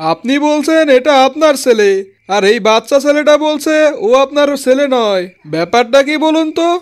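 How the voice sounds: A man performs a cartoonish character voice at an extremely high pitch. He speaks at a moderate pace on a very clean recording with a silent background.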